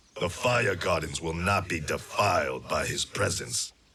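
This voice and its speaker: A man performs a put-on character voice at a very deep, low pitch. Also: moderate pace. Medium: video game. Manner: terse, grave.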